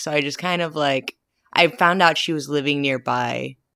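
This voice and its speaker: A woman talks with ordinary pitch variation. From Filipino-American upbringing. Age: 30s. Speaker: interviewee in couple's love story. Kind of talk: casual interview storytelling. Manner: animated.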